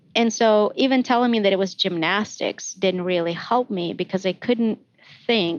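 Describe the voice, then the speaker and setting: A woman with a non-native accent speaks at a moderate pace with ordinary pitch variation. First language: not English. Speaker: math education professor. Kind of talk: podcast interview. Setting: recorded outside usual studio.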